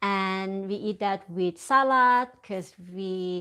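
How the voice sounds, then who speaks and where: A woman with a Thai accent and ordinary pitch variation. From Thailand. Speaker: crochet content creator. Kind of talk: live stream chat. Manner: halting, self-correcting. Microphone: phone with external microphone.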